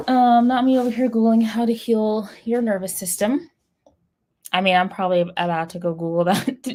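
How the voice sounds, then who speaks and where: This woman has a fairly high pitch and a dark, mellow tone. She speaks at a moderate pace with ordinary pitch variation. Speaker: writing livestreamer. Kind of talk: casual livestream chat. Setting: livestream. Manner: halting.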